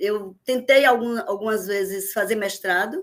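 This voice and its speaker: The speaker talks with a Bahian accent. The pace is moderate. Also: woman. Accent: Bahian Brazilian Portuguese. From Bahia, Brazil (Vitória da Conquista, then Salvador). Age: 60s. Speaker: teacher. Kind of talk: podcast interview.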